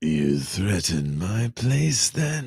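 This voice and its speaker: The speaker uses a put-on character voice. Very wide pitch swings run throughout. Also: man. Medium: read story.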